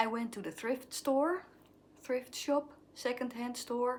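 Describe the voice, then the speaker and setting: At a fairly slow pace, a woman speaks with a Dutch accent. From Netherlands. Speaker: craft vlogger. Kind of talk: casual vlog show-and-tell. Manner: halting, searching for words.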